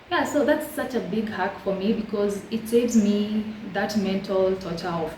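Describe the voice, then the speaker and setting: Noticeable background noise and audible room echo surround this recording. The speaker is a woman with a medium pitch. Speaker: lifestyle YouTuber. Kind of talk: casual vlog tutorial. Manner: fast; chatty, warm.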